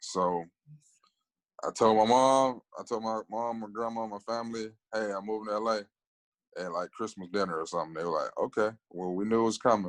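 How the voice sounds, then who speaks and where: A man with an American accent talks at a fairly quick pace, using fairly even intonation at a fairly low pitch. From Alabama. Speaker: actor. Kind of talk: interview. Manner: casual.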